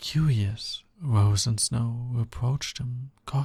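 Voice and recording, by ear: With ordinary pitch variation, a passage is read aloud in a natural voice.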